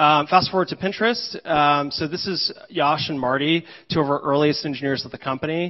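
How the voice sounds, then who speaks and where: A man's fairly high voice with an American accent, fairly quick and with ordinary pitch variation, against a quiet background. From New Jersey, US. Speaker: engineering leader. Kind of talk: conference talk. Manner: frequent filler words. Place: hall.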